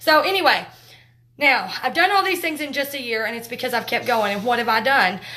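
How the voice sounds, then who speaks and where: The voice is raised and projected, with a bright, sharp tone. The pace is fairly quick. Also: woman. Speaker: makeup direct sales trainer. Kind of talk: live training talk. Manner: loud; talkative, fast.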